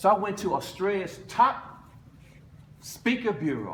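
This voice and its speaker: In an animated tone with lively intonation, a man speaks at a high pitch, with audible room echo. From United States. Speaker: motivational speaker, former basketball player. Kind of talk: motivational speech.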